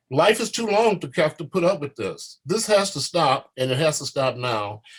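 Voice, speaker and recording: At a moderate pace, a man speaks with lively intonation and a somewhat breathy sound. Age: 70s. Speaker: war veteran. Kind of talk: panel discussion. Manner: passionate.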